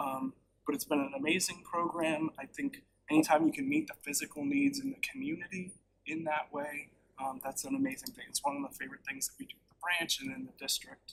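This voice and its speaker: Very wide pitch swings at a fairly quick pace. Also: man, high pitch for a man, big swings in loudness. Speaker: library branch staff presenter. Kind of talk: board meeting presentation. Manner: off the cuff.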